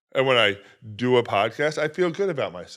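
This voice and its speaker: On a very clean recording with a silent background, a man talks at a very fast pace with a fairly high pitch, lively intonation and vocal fry. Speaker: podcast host. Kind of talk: solo podcast monologue.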